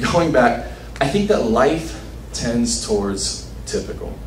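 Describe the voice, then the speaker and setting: A man talks with an American accent. Light background noise and audible room echo are present. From Los Angeles, south side. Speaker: conference speaker. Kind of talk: short talk to audience.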